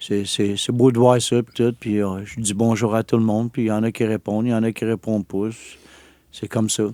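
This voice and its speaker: A man's medium-pitched, dark, mellow voice in a flat monotone at a moderate pace, very clean with a silent background and a dry, close sound with no echo. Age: 60s. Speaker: exonerated former prisoner. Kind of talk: interview testimony. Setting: studio. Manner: halting.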